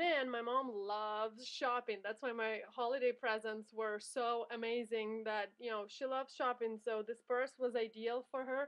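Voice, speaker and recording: With a normal speaking voice, a woman talks at a moderate pace with hardly any pauses, using fairly even intonation at a fairly high pitch. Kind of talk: product showcase vlog.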